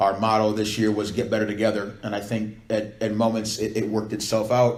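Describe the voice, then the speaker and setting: Audible room echo surrounds a man speaking at a fairly quick pace. His fairly low voice stays monotone and flat. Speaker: volleyball coach. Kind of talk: speech to supporters. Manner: loud; fast.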